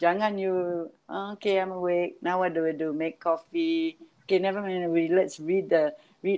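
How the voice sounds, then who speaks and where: Speaking in a normal speaking voice, a woman talks at a fairly slow pace with a fairly low pitch and fairly even intonation. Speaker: event manager and music producer. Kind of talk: casual interview.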